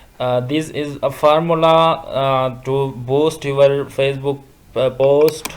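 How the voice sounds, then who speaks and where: Over noticeable background noise, a man of medium pitch speaks very slowly in a flat monotone. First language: not English. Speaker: social media tutorial youtuber. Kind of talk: screen-recorded tutorial. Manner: halting, many fillers and restarts.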